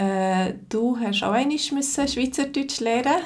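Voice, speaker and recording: With a Zürich accent, a woman speaks at a fairly slow pace. Her pitch varies in an ordinary way. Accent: Zürich Swiss German. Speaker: Swiss German teacher. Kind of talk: interviewer questions.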